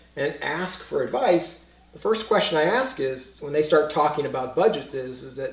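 A man at a moderate pace, loudness swinging widely, with audible room echo. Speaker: espresso website host giving advice. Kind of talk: conversational tutorial. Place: kitchen.

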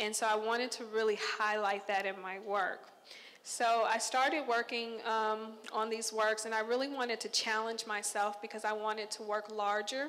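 With an American accent, a woman talks at a moderate pace in a fairly high pitch and monotone, flat intonation. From Texas, Conroe; Texas. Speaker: visual artist. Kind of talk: artist talk to an audience. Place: hall. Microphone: handheld.

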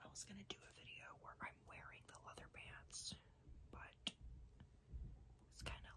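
A soft-spoken woman at a moderate pace over loud background noise. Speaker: ASMR creator. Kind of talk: casual vlog chat. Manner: soft, hushed ASMR talk. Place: home room. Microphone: phone near.

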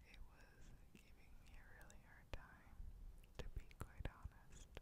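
Whispering at a fairly slow pace, a woman can be heard. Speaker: ASMR creator. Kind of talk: ASMR mic test talk to camera. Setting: home recording with rain and thunderstorm noise in background. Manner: soft whispering, close to the mic. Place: home room. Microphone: studio mic.

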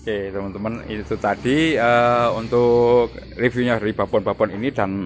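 Over light background noise, a man talks in a normal speaking voice with fairly even intonation. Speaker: goat farming video host. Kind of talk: on-site farm visit interview. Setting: outdoors at a goat pen. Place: farm machine. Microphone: phone near.

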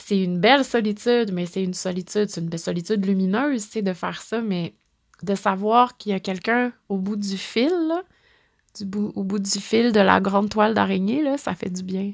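Speaking at a moderate pace, a woman with a Quebec accent keeps a medium pitch with ordinary variation. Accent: Québécois French. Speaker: podcast host on stones and crystals. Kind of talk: solo monologue, storytelling talk. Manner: warm, intimate; laughs often.

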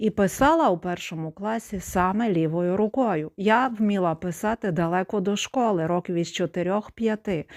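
An ordinary speaking voice from a woman, medium in pitch with ordinary pitch variation and a fairly slow pace, in a dry, close sound with no echo and a very clean recording with a silent background. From Ukraine, Zakarpattia (Khust). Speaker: video blogger. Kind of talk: personal testimony monologue.

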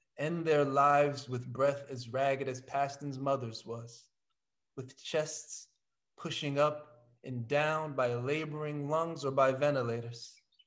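Over a quiet background, a man talks at a fairly slow pace with a fairly high pitch and fairly even intonation. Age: young. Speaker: actor. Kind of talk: poem introduction read. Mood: solemn, gentle. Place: home room. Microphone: video call.

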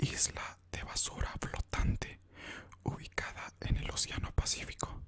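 Whispering, a man talks at a fairly slow pace. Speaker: ASMR creator. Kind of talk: soft-spoken ASMR narration of trivia list. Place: home room. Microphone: studio mic.

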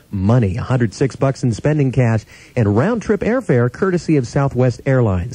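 A man's dark, mellow, somewhat breathy voice with an American accent, lively intonation and a moderate pace, dry with no echo. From Las Vegas, USA. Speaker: radio announcer. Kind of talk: radio station aircheck, on-air announcer patter. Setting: radio broadcast. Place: studio. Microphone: studio mic.

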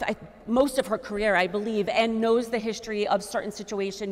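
An ordinary speaking voice with an American accent, at a moderate pace. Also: woman. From Fall River, Massachusetts; Massachusetts. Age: 40s. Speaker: school committee candidate, teaching artist; candidate. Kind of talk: closing statement; candidate forum answers. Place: hall.

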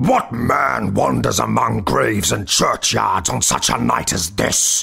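Put-on character voice, raspy and delivered at a fairly slow pace. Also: man, fairly low pitch for a man. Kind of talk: gothic storytelling. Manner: stern, cried out.

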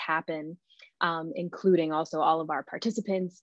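This is a woman with a fairly low pitch. The background is quiet. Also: dry sound with no echo. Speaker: musician and event host. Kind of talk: event introduction and hosting. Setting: video call. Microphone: earbuds.

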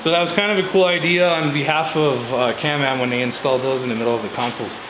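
A man at a very fast pace with ordinary pitch variation, over noticeable background noise. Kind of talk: tutorial. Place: garage. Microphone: camera far.

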